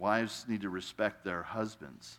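This man has a normal speaking voice. His pitch is fairly low. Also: very clean recording, silent background. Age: 60s. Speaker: guest pastor. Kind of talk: sermon. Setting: church.

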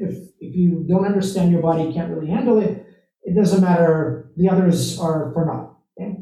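High-pitched male speech at a moderate pace, ordinary pitch variation and audible room echo. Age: 30s. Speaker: podcast host and CEO. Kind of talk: interview.

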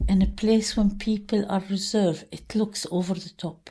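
Somewhat breathy, a woman speaks with a dark, mellow tone. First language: Arabic. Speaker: memoir author. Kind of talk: interview with readings of her own work.

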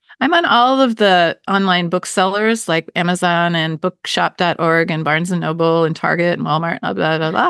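Recorded dry and close with no echo against a quiet background, a woman with an ordinary speaking voice talks at a moderate pace and a fairly low pitch, with ordinary pitch variation and hardly any pauses. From US, Baltimore, Maryland. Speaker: novelist. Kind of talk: interview.

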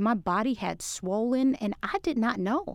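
A woman with an American accent and a plain, everyday voice, fairly high in pitch with lively intonation, on a very clean recording with a silent background. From Brooklyn, New York. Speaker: realtor and business coach. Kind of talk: podcast interview.

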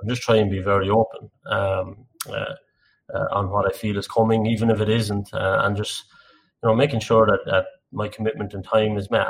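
A man in an Irish Midlands accent, somewhat breathy and fairly low-pitched, with fairly even intonation at a fairly quick pace. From Ireland, Tullamore (County Offaly). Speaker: energy industry director. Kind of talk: podcast interview. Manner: halting.

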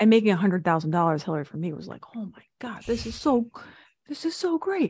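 Talking very fast, a woman's voice is somewhat breathy, with very wide pitch swings and big swings in loudness. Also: medium pitch for a woman. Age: 40s. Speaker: speaking coach and business consultant. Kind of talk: interview.

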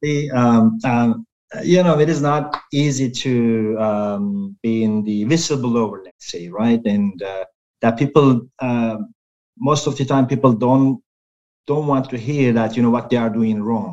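A man in a Turkish accent, medium in pitch, at a fairly slow pace with ordinary pitch variation. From Turkey. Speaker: health and safety professional. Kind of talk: interview. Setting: video call. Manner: halting.

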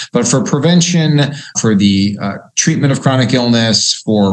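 An unremarkable speaking voice from a man at medium pitch, with lively intonation and a fairly quick pace. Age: 50s. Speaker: cardiologist. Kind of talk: interview.

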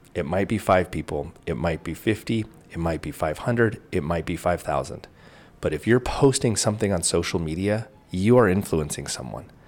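With a very deep, low pitch and vocal fry, a man talks at a moderate pace with lively intonation on a very clean recording with a silent background. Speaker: podcast host. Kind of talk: solo motivational monologue. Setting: home video recording. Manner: informal, conversational.

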